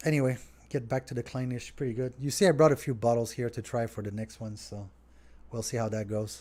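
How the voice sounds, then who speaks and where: Here a man speaks with a French accent at a fairly quick pace. His tone is dark and mellow, his intonation fairly even, and the recording very clean with a silent background. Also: medium pitch for a man. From Quebec, Montreal. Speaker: restaurant owner. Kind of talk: live stream Q&A. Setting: home studio. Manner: casual, conversational.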